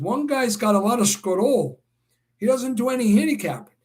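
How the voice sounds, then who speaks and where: A man with a New York accent, enthusiastic in tone, lively in intonation, at a moderate pace. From New York City (Brooklyn). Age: 60s. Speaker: horse racing handicapper and livestream host. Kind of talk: live stream Q&A chat. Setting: live video stream.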